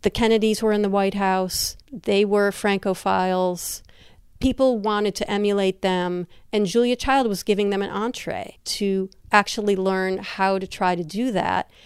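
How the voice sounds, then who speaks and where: At a moderate pace, a woman with an unremarkable speaking voice talks at a medium pitch with fairly even intonation on a very clean recording with a silent background. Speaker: food media historian. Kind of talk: interview.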